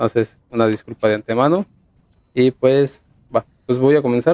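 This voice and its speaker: A man in a Mexican accent speaks with a dark, mellow tone at medium pitch. His loudness stays very even at a moderate pace, in a dry, close sound with no echo. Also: ordinary pitch variation. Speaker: podcast host.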